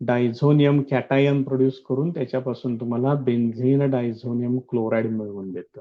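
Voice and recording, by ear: Here a man speaks at medium pitch. His pace is moderate and his intonation fairly even.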